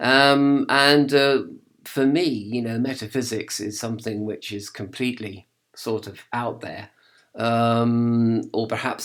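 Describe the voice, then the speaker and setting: The pace is fairly slow and the intonation fairly even. The recording is very clean, with a silent background. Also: man. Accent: English. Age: 50s. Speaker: video blogger on religion. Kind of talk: casual monologue. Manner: hesitant, many fillers.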